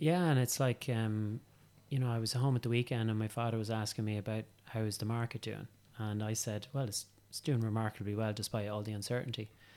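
The recording is very clean, with a silent background. A man speaks very fast with a dark, mellow tone. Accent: Irish. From County Meath, Ireland. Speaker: estate agent. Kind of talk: casual interview chat. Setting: in-person office studio. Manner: hesitant, many fillers.

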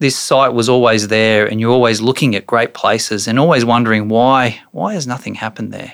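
A man with an Australian accent at a fairly quick pace, with ordinary pitch variation. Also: very clean recording, silent background. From Australia, Brisbane. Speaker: property developer and precinct CEO. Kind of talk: interview.

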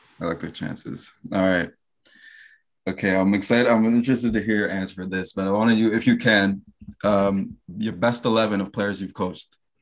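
In a Canadian accent, a man uses a normal speaking voice at a fairly low pitch and a fairly quick pace, his intonation fairly even, on a very clean recording with a silent background. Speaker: podcast host. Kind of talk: casual interview.

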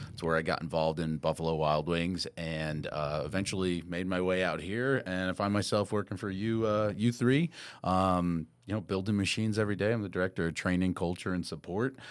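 With a New York accent, a man talks at a fairly quick pace with hardly any pauses, his very deep, low voice showing ordinary pitch variation on a very clean recording with a silent background. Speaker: corporate training director. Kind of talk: casual chat. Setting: studio.

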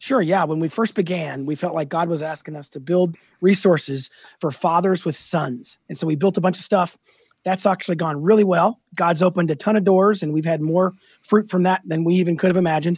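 The recording is very clean with a silent background. Delivery is fairly quick, and the intonation stays fairly even. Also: man, high pitch for a man. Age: 50s. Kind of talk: interview.

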